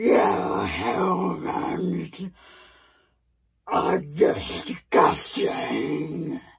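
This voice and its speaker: A woman uses a put-on character voice, raspy and very deep in pitch. There is a slight echo. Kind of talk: improvised character story. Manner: angry, menacing.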